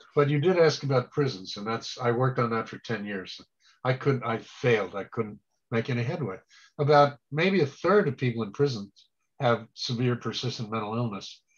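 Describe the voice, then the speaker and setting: A man's somewhat breathy voice, its pitch varying in an ordinary way. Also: medium pitch for a man, moderate pace. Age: 70s. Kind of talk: presentation Q&A.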